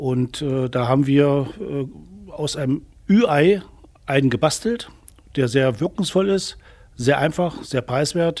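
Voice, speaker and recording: Pitch varies in an ordinary way. The delivery is very slow. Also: man. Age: 60s. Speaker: youth angling instructor. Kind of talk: tutorial.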